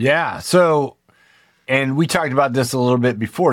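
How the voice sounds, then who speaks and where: A man in an ordinary speaking voice, at a medium pitch and a moderate pace, with ordinary pitch variation. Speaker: podcast host. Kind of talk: interview.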